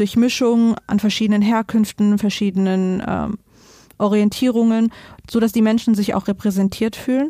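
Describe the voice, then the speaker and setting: Recorded very cleanly against a silent background, a woman with a dark, mellow tone and medium pitch speaks at a moderate pace in a flat monotone. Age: 20s. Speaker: local council candidate. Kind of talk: interview.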